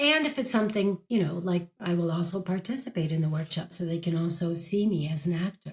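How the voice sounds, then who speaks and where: Somewhat breathy and moving at a fairly quick pace, the voice carries an American accent. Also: woman, fairly low pitch for a woman, ordinary pitch variation, hardly any pauses. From United States. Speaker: actress and career coach. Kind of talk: interview.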